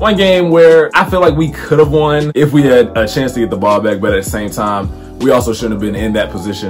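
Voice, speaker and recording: Clear music plays in the background. Over it, a man speaks at a fairly quick pace. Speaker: sports fan vlogger. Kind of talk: casual vlog chat. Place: home room. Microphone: phone near.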